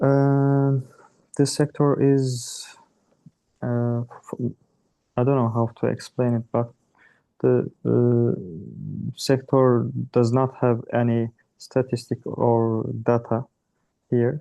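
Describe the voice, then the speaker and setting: In a Turkish accent, a man speaks at medium pitch and a very slow pace with monotone, flat intonation and long, frequent pauses, in a dry, close sound with no echo. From Turkey. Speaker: startup founder. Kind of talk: self-introduction. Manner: halting.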